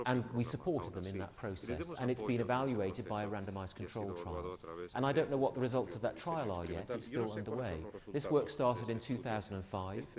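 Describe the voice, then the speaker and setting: The man talks at a fairly quick pace with lively intonation and medium pitch. Audible room echo surrounds his voice. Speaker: conference speaker. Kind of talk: conference Q&A answer. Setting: conference hall with audience.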